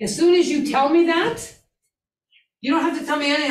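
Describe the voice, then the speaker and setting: A woman talks at a very fast pace. Room echo is audible. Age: old. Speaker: instructor. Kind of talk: lecture.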